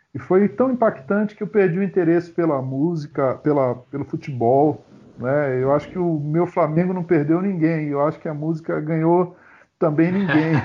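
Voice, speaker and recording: A man with an ordinary speaking voice talks at a fairly high pitch and a moderate pace, with ordinary pitch variation. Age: 50s. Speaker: pastor and musician. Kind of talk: casual chat.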